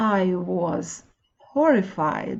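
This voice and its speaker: A woman talks with a non-native accent and a somewhat breathy sound. Her pitch swings very widely. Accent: foreign accent in English. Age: 60s. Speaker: wellness blogger and author. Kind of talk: reading own audiobook.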